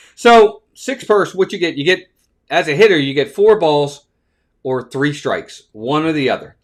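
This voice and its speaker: The recording is very clean, with a silent background. A man with an American accent talks at a moderate pace, his pitch swinging very widely. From Baltimore, Maryland. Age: 50s. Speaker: baseball live-stream host. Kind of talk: live play-by-play commentary and chat. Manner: casual, conversational.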